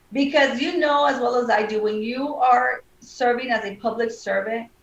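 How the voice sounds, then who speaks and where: A woman's high voice at a moderate pace, with ordinary pitch variation. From South Texas (Brownsville area). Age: 40s. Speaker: lawyer and judicial candidate. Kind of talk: interview.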